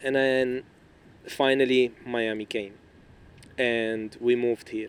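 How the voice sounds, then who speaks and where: A man with an Arabic accent talks at a very slow pace in a medium pitch. His intonation is monotone and flat. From Lebanon. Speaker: podcast guest. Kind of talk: casual chat.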